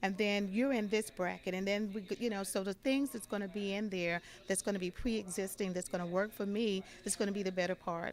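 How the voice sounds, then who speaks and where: A woman with an ordinary speaking voice, medium pitch, fairly even intonation and a fairly quick pace. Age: 60s. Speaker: attendee at debate watch party. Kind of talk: street interview.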